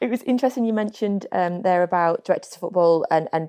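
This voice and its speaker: In a northern English accent, a woman talks at a very fast pace with ordinary pitch variation. Her fairly low voice has a dark, mellow tone, recorded dry and close with no echo. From northern England. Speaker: podcast host. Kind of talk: casual chat.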